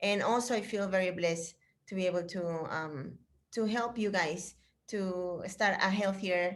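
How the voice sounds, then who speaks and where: A woman speaks with a Spanish accent. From Chile. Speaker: fitness instructor trainer. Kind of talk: casual chat. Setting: video call. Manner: animated.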